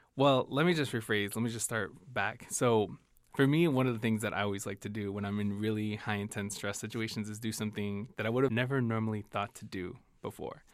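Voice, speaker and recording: Fairly quick and fairly low-pitched, a man with a Chicago accent keeps his intonation fairly even on a very clean recording with a silent background. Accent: Chicago American English. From US Midwest, Chicago. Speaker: diversity training specialist and co-host. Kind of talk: casual chat. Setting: studio.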